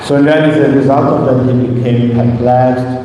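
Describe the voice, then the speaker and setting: A man at medium pitch with audible room echo and noticeable background noise. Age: 60s. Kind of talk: sermon.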